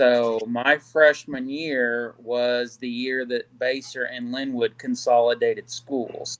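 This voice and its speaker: In a Midwestern US accent, a man speaks at a medium pitch, very slowly and in a monotone, flat way. He barely pauses at all. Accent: US Midwest. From Kansas City, Kansas. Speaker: guest on search and recovery live stream. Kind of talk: casual live stream chat. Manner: halting, many fillers.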